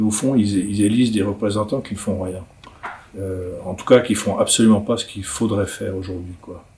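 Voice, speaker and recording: Over noticeable background noise, the speaker keeps a moderate pace and fairly even intonation while the loudness swings widely. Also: man, fairly low pitch for a man. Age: 60s. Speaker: writer and illustrator. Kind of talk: interview answers. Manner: halting, many repetitions.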